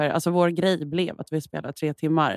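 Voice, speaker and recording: Her pitch is fairly low for a woman, and her intonation is monotone and flat. The sound is dry and close, with no echo. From Malmö, southern Sweden. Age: 30s. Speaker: singer-songwriter. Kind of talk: casual chat.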